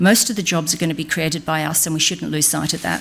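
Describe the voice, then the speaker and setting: A woman with an Australian accent speaks in a fairly low voice with ordinary pitch variation. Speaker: business speaker on a government advisory panel. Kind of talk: conference speech. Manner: animated.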